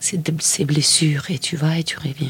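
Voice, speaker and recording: Noticeable background noise sits behind a woman with a very deep, low pitch. She talks at a fairly slow pace in a monotone, flat intonation. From Argentina, Mendoza. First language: Spanish (speaking French). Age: 50s. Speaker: filmmaker. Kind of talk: interview. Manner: halting, with frequent repetitions.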